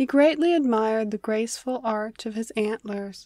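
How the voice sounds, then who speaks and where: Speaking at a fairly slow pace with ordinary pitch variation, a woman with a fairly high pitch has an unremarkable speaking voice on a very clean recording with a silent background. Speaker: narrator. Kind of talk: fable read aloud.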